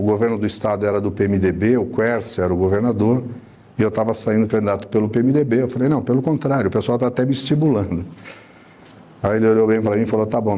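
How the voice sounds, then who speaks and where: A man speaks very fast. The pitch of his voice varies in an ordinary way. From São Paulo city, Brazil. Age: 60s. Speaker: city councillor. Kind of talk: panel talk at a debate event.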